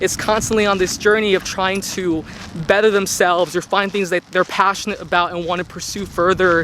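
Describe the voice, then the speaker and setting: A man with a high-pitched voice over noticeable background noise. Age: 20s. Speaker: intern. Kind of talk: casual vlog talk to camera. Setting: outdoors.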